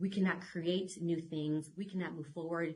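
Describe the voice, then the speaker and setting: Her voice somewhat breathy and fairly low in pitch, a woman speaks with an American accent. Her intonation is monotone and flat. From California. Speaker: children's book author. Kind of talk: podcast interview.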